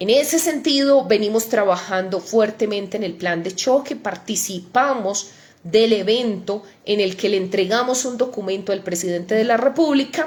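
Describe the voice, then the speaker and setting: A woman talks at a moderate pace with a fairly high pitch and lively intonation. Noticeable background noise runs underneath. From Antioquia, Colombia (Ituango). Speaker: senator. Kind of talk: livestream update. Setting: live online broadcast.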